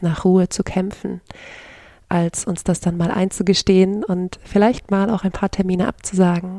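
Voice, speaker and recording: Her medium-pitched voice has a dark, mellow tone and a monotone, flat intonation. This woman keeps a moderate pace in a very clean recording with a silent background. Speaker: podcast host, coach and yoga teacher. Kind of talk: solo podcast monologue. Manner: hesitant with many fillers.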